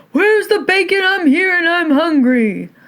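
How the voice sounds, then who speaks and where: The pitch reaches extremely high. It's a put-on character voice. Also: moderate pace. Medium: read story.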